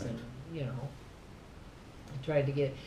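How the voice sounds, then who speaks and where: A woman with an American accent is heard against noticeable background noise. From southern Minnesota. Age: 80s+. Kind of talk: interview answer. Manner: reminiscing, chatty.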